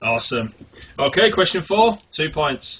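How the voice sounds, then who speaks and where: A man speaks in a raised, projected voice with a bright, sharp tone. His pace is fairly slow. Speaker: quiz show host. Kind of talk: quiz show. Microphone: sounds worse over the phone.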